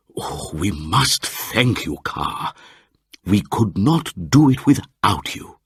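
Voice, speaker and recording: A man's put-on character voice, fairly low, with very wide pitch swings at a very slow pace. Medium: read story.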